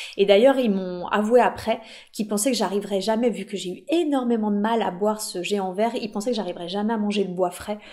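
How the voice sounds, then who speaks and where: A woman talks fairly quickly at a medium pitch, her pitch moving with ordinary variation. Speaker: hypnotherapist and psychedelic therapy youtuber. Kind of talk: personal testimony monologue. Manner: hesitant, many fillers and repetitions.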